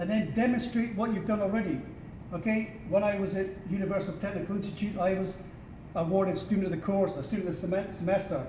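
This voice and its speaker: A man's high voice at a very fast pace, with a Scottish accent and fairly even intonation, amid audible room echo and noticeable background noise. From Scotland. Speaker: career advisor. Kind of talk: workshop presentation. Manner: informal with many fillers.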